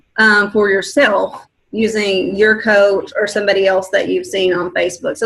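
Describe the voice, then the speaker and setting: Speaking in an ordinary speaking voice, a woman keeps a medium pitch, a moderate pace and fairly even intonation. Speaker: fitness coach leading a team call. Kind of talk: coaching conference call.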